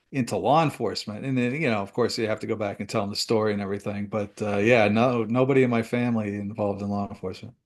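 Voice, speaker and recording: Very fast man with an American accent, fairly low pitch, and hardly any pauses, over a quiet background. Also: fairly even intonation. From US Northeast. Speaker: retired DEA agent. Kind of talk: interview.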